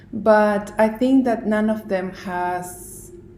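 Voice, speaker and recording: A woman talks at a very slow pace, with audible echo in the room. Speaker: knitting designer and video podcaster. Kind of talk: casual vlog monologue. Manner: halting with many fillers and pauses.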